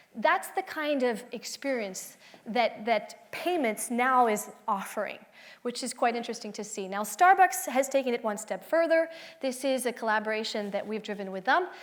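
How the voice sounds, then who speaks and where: A woman speaks in a high voice at a moderate pace. Her intonation is lively. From France. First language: French. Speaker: tech company executive, conference speaker. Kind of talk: conference talk. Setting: stage with audience.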